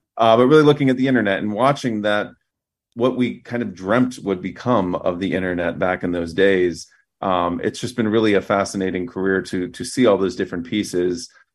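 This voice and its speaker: A man with a plain, everyday voice, fairly low in pitch, with ordinary pitch variation, a fairly quick pace and a quiet background. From US Midwest, Fort Wayne, Indiana. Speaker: news media executive. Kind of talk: interview.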